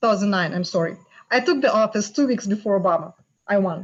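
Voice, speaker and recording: Somewhat breathy, a woman talks at a very fast pace. Her fairly high voice has lively intonation. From Russia. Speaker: panelist, Trump voter. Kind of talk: panel discussion. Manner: unprepared, thinking aloud.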